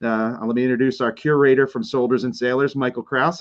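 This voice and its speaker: At a very fast pace, a man speaks with a medium pitch. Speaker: museum director and program host. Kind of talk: livestream history presentation.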